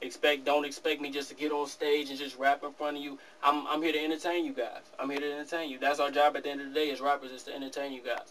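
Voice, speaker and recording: With an American accent, a man at a fairly high pitch talks very fast with hardly any pauses and monotone, flat intonation, his loudness swinging widely over light background noise. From Detroit, US. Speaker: rapper; interviewee. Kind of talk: interview. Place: office.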